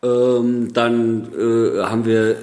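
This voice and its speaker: A man's voice over noticeable background noise. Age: 40s. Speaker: film director. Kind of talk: casual interview. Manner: hesitant, many fillers.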